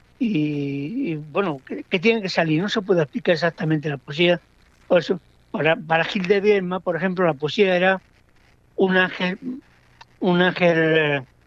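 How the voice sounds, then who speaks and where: A man's high voice with ordinary pitch variation and long, frequent pauses. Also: moderate pace, dry, close sound with no echo. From Andalusia, southern Spain. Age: 70s. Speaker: poet. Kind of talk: interview.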